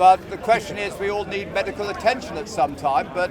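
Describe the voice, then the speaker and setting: A man rattles off his words very fast while noticeable background noise runs underneath. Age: 60s. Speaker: public speaker in a debate. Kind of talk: open-air street debate.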